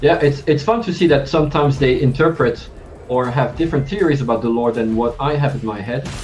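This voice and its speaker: Over music in the background and audible room echo, a man speaks at a very fast pace in a fairly high pitch with ordinary pitch variation. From France. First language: French. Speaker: game writer. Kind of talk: casual chat. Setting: live stream.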